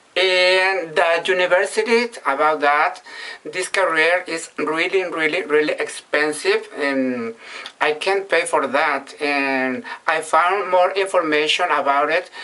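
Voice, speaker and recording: The speaker has a Mexican accent. The pace is fairly slow. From Mexico, Sinaloa. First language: Spanish. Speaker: vlogger. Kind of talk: casual monologue in learner English. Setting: bathroom. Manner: halting.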